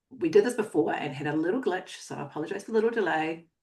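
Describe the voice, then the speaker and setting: With vocal fry and lively intonation, a woman talks at a very fast pace. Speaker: photography business coach. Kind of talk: live online workshop. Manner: fast when excited; animated.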